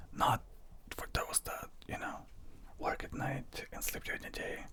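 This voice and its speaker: Someone is whispering. Noticeable noise sits in the background. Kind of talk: casual talk to camera, personal product review. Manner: whispered, conversational.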